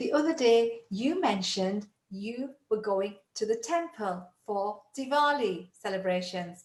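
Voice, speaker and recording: With a British accent, a woman sounds upbeat at a fairly high pitch, her intonation lively and her fairly slow pace broken by hardly any pauses. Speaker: English tutor. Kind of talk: English lesson to camera.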